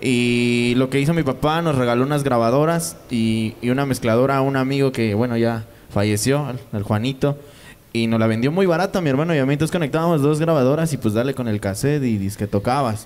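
A man speaks with a Mexican accent at a fairly quick pace. His loudness stays very even. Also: ordinary pitch variation. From Mexico. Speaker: DJ and record label owner. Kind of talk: casual interview. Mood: relaxed, casual slang. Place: studio. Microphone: handheld.

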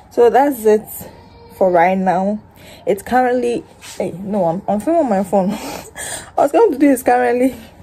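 Over light background noise, a woman talks at a moderate pace with lively intonation. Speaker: vlogger. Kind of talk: casual vlog chat. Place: home room. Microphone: phone near.

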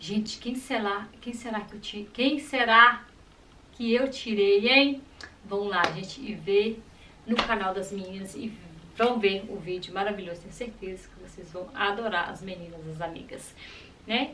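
Over light background noise, a woman speaks at a fairly slow pace and medium pitch, with ordinary pitch variation and big swings in loudness. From Brazil. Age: 30s. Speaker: YouTuber. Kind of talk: casual vlog unboxing. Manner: animated. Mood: cheerful, playful. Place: home room.

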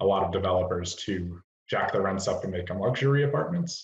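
The speech moves at a fairly quick pace, with audible room echo. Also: man. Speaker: housing developer. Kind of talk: project pitch. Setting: video call. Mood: calm, businesslike pitch. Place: home room. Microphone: video call.

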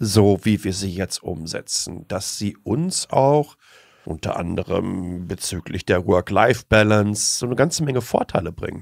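A man in a normal speaking voice, fairly low in pitch, with lively intonation at a fairly slow pace. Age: 40s. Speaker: tech blogger and communicator. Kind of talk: interview.

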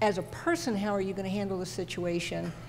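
A woman at a fairly quick pace over noticeable background noise. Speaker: television camera technician; panelist. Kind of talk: panel discussion. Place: hall. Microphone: handheld.

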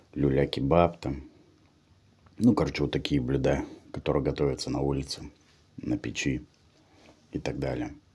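A man with a very deep, low voice and vocal fry speaks at a moderate pace with fairly even intonation, taking long, frequent pauses against a quiet background. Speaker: mukbang vlogger. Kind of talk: casual vlog chat. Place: home room. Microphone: phone near.

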